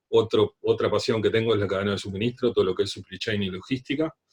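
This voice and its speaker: A man speaks with a Uruguayan accent. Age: 30s. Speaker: leadership trainer. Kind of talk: talk.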